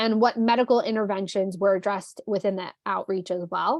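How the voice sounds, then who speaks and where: Against a quiet background, a woman speaks with a New Jersey accent. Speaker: trainer. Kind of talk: online training session. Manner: casual, many fillers.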